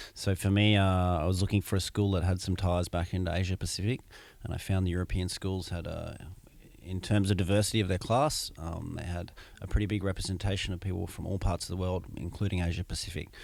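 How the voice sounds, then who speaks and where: With an Australian accent, a man with a very deep, low pitch speaks at a very fast pace with fairly even intonation. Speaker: MBA student. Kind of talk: interview. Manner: hesitant, many fillers.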